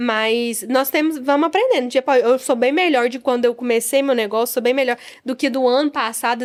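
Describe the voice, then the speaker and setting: Her tone is animated and her pitch is high. The woman moves at a fairly quick pace with ordinary pitch variation. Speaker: beauty business owner. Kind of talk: interview conversation.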